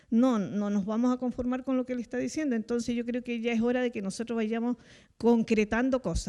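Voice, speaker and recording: Against a quiet background, a woman talks at a fairly quick pace in a high pitch. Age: 60s. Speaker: citizen panelist. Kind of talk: televised panel discussion.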